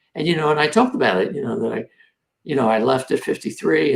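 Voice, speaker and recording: The voice swings very widely in pitch and carries vocal fry. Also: man. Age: 70s. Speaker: TEDx organizer. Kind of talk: casual chat.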